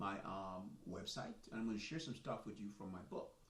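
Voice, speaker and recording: Audible echo from the room surrounds the speech. A man delivers it at a moderate pace. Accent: slight Jamaican. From Jamaica. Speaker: soccer coach and author, army veteran. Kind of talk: live stream monologue. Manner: casual, animated.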